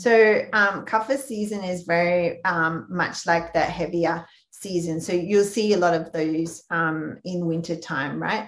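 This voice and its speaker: Speaking at a fairly slow pace with hardly any pauses, a woman with an Australian accent uses a fairly low pitch and ordinary pitch variation. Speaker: health practitioner. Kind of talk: interview.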